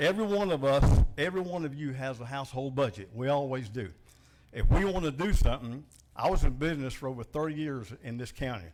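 Speaking at a very fast pace in a Southern US accent, a man uses a fairly high pitch and lively intonation. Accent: Southern US (Georgia). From US South, Macon, Georgia. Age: 60s. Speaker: citizen giving public comment. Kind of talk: public comment at a government meeting. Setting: county commission meeting room with audience.

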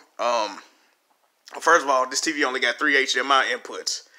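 A man with a bright, sharp tone speaks at a moderate pace in a very clean recording with a silent background. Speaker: gaming YouTuber. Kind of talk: casual chat. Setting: home, showing TV on video. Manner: casual, slangy, rambling.

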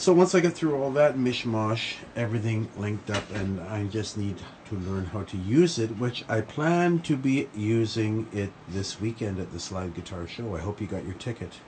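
Over light background noise, a man talks at a moderate pace with a fairly low pitch. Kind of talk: casual vlog chat. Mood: pleased, lightly joking. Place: studio. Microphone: phone near.

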